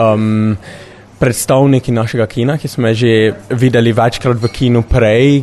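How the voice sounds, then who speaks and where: A man speaks with fairly even intonation. Background noise is noticeable throughout. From Slovenia. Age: young. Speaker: young film enthusiast. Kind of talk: interview answer. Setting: film festival. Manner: halting.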